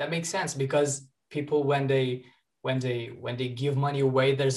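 Over a quiet background, a man speaks at a fairly high pitch in a somewhat breathy voice. His intonation is monotone and flat, at a moderate pace. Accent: Portuguese. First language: Portuguese. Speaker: student podcast host. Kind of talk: interview.

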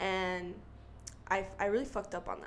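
A woman speaks with an American accent at a medium pitch. Audible room echo surrounds her voice. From Utah. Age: 20s. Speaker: young mother sharing her story. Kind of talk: casual interview.

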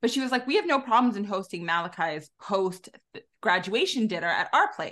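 Her voice sits fairly high and has a bright, sharp tone. The woman speaks at a fairly quick pace with lively intonation. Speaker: podcast host. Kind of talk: casual chat.

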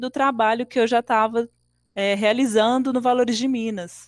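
In a very clean recording with a silent background, a woman with a high voice speaks at a moderate pace. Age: 30s. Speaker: circus artist and dance educator. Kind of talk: interview.

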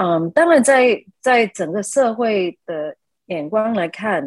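A woman with an ordinary speaking voice at medium pitch uses lively intonation, recorded with a dry, close sound and no echo. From Malaysia. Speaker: architect. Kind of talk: interview.

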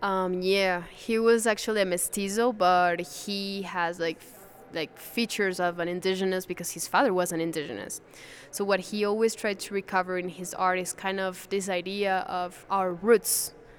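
A woman with a Spanish accent, medium pitch and fairly even intonation, her loudness swinging widely. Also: moderate pace. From Venezuela. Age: 20s. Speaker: museum guide. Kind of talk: interview.

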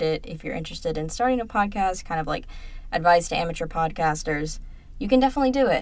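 Lively intonation runs through the speech. The speaker is a woman. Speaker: student podcast co-host. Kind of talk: casual chat.

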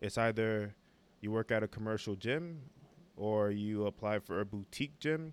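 A man speaks with a New York accent. His pitch sits fairly low. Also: very clean recording, silent background. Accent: New York City. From New York City (Brooklyn). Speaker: podcast co-host, fitness coach. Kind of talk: casual chat.

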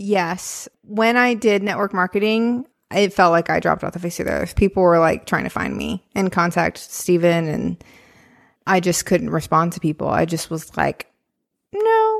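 Recorded very cleanly against a silent background, a woman talks at a moderate pace in a dry, close sound with no echo. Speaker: podcast host and theater director. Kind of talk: casual chat.

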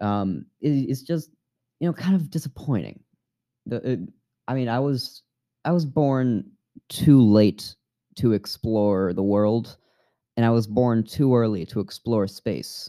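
With a dark, mellow tone and an American accent, a man speaks with long, frequent pauses in a dry, close sound with no echo. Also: medium pitch for a man, fairly slow pace, very clean recording, silent background. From New York. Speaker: podcast host. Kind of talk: casual solo monologue. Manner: halting.

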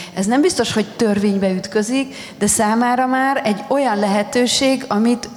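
A woman's fairly high voice at a moderate pace with ordinary pitch variation, amid noticeable background noise and audible room echo. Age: 40s. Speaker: historian. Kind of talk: panel discussion at book launch. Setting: festival stage with audience.

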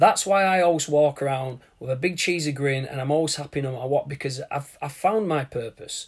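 In a British accent, somewhat breathy, a voice speaks at a moderate pace with ordinary pitch variation on a very clean recording with a silent background. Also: man. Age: 30s. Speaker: podcast host. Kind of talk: motivational monologue. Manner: hesitant, with fillers.

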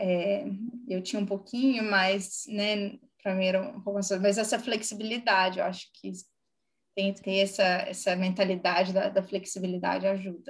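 The speech moves at a moderate pace in a Brazilian accent. Intonation stays fairly even. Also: woman. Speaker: HR director. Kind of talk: casual interview. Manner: hesitant, many fillers.

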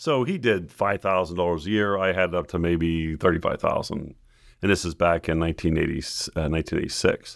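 A man with an American accent, very deep and low-pitched, speaking at a very slow pace with fairly even intonation, on a very clean recording with a silent background. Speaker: manufacturing company founder. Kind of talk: interview.

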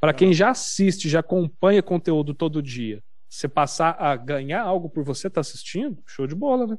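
A man speaks in a plain, everyday voice, fairly high in pitch, at a fairly quick pace with lively intonation and hardly any pauses. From Minas Gerais, Brazil (Uberaba). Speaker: gaming streamer. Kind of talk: casual chat.

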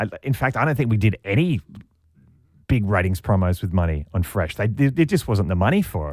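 Fairly low in pitch, a man talks at a fairly quick pace with lively intonation. The recording is very clean, with a silent background. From Australia, Sydney. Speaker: radio host. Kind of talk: interview.

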